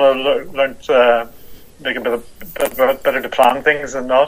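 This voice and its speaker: The speaker talks at a fairly slow pace with a Northern Irish accent and fairly even intonation. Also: man. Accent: Northern Irish (Belfast). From Northern Ireland, Belfast. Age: 60s. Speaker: motorcycle traveller. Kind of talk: interview.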